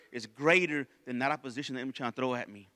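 A man talks in an animated tone. The background is quiet. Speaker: preacher. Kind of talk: sermon. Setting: church. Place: church. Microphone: handheld.

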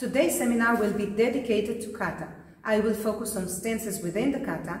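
A woman talks at a fairly quick pace with audible room echo. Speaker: karate instructor. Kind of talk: lecture. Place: gym.

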